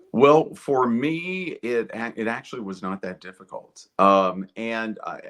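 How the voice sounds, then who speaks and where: Fairly slow and fairly low-pitched, a man's bright, sharp tone rises and falls in very wide pitch swings. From southeastern Kentucky. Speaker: actor and director. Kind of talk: interview.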